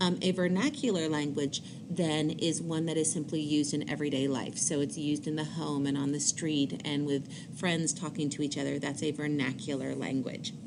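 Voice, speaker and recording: With an American accent, a woman speaks at a very deep, low pitch and a moderate pace with fairly even intonation, amid audible room echo and noticeable background noise. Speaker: high school teacher. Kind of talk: recorded lecture. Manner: hesitant fillers (um, uh).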